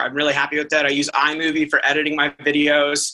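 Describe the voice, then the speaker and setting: Over noticeable background noise, a man talks at a fairly quick pace. His pitch is fairly high. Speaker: pathologist. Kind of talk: casual chat. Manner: fast.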